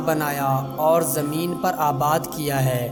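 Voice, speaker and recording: A man talks while music plays in the background. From Pakistan. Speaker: voice-over artist. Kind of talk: Islamic story narration.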